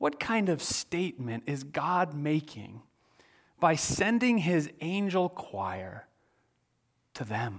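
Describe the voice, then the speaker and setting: A man with an American accent speaks at a very slow pace with long, frequent pauses. His pitch swings very widely, in a very clean recording with a silent background. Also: fairly high pitch for a man. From US Midwest. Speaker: pastor. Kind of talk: sermon.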